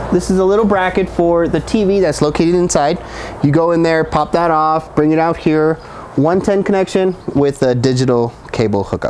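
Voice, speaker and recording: A man talks at a moderate pace and a high pitch, with ordinary pitch variation. His loudness stays very even, and there is light background noise. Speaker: RV salesman. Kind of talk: product walkthrough tour. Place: street. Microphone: lapel.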